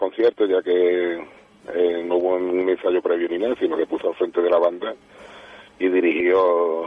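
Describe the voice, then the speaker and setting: There is noticeable noise behind this man's voice, which rises and falls in an ordinary way. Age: 50s. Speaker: band director and music teacher. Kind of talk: radio interview.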